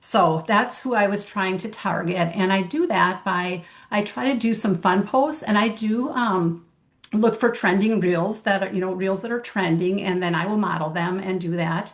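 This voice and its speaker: A woman's medium-pitched, plain, everyday voice at a moderate pace with ordinary pitch variation. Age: 60s. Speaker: network marketing consultant. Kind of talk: casual chat.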